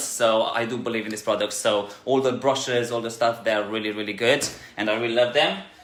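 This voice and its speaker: There's audible room echo and noticeable background noise as a man with a medium pitch talks at a fairly quick pace with fairly even intonation. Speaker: dog groomer and salon owner. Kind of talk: tutorial. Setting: grooming salon. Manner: fast; hesitant, many fillers.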